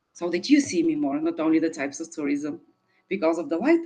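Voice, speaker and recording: A woman with a Bulgarian accent speaks with very wide pitch swings. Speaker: sustainable tourism expert. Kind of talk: online forum presentation. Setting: video call. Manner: hesitant, many fillers.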